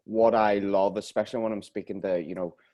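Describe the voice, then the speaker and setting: Against a quiet background, a man with a Northern Irish accent speaks at a moderate pace in a fairly low, dark, mellow tone with monotone, flat intonation. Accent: Northern Irish (Belfast). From Northern Ireland, Belfast. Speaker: podcast host. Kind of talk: casual interview chat.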